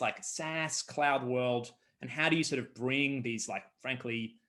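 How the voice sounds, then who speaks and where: The speaker is a man. He has an Australian accent. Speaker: startup co-founder. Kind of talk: interview.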